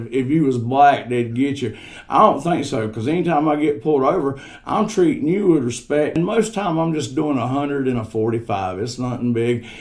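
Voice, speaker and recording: Lively intonation carries this man's fairly high pitch. The room echo is audible. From Staunton Bridge. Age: 40s. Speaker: podcast guest. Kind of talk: casual chat. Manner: animated.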